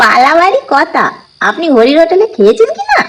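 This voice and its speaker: A put-on character voice, extremely high and cackling, with very wide pitch swings at a moderate pace. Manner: cackling laugh.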